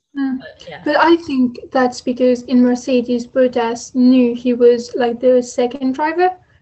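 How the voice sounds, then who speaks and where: A woman speaks at a high pitch and a fairly slow pace with hardly any pauses, ordinary pitch variation and big swings in loudness. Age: 20s. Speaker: podcast co-host. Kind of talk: casual chat. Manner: halting.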